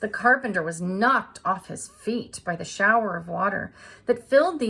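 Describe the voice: Simple, plain reading aloud.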